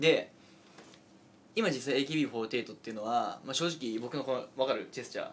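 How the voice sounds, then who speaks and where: A man talks at a moderate pace in an ordinary speaking voice, his pitch medium with ordinary variation. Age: 20s. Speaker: internet radio host. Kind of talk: casual chat.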